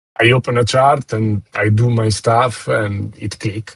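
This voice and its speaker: The voice belongs to a man at a medium pitch. It sounds somewhat breathy. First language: not English. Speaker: trader. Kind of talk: interview. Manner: halting.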